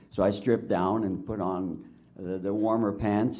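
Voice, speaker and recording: Audible room echo surrounds a man's fairly low voice with a dark, mellow tone. He talks at a moderate pace. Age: 70s. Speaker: witness at a public inquiry. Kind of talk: testimony. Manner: halting.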